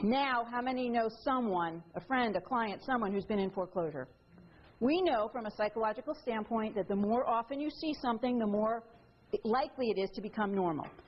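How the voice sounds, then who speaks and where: With an American accent, a woman talks fairly quickly in a somewhat breathy, fairly high voice, her intonation lively and her loudness very even. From New York. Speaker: attorney and author giving a talk. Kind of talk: lecture. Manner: fast; animated.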